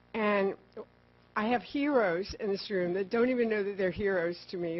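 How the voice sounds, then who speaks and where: This woman's intonation stays fairly even. She talks at a medium pitch. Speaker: park service program manager. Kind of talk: conference presentation. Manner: loud; fast.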